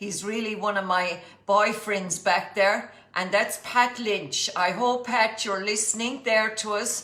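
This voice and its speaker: A woman with a fairly high pitch talks at a fairly slow pace in fairly even intonation, with noticeable background noise and audible room echo. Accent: County Clare. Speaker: cookery teacher. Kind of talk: cooking demonstration livestream.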